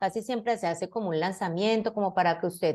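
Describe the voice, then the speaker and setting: Against a quiet background, a woman with a dark, mellow tone speaks at a moderate pace with ordinary pitch variation. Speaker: university lecturer in science education. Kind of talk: lecture.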